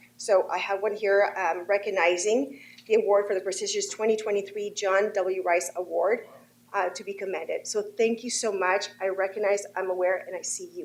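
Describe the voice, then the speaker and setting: This woman talks at a moderate pace. Her intonation stays fairly even. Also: medium pitch for a woman. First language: not English. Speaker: state legislator. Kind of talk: formal address to a board. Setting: board of trustees meeting. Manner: formal.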